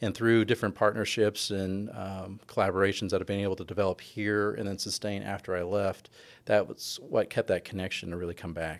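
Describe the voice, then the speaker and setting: In a very clean recording with a silent background, a man with an American accent speaks at a fairly quick pace with hardly any pauses, using a fairly low pitch and monotone, flat intonation. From California. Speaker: professor. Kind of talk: interview.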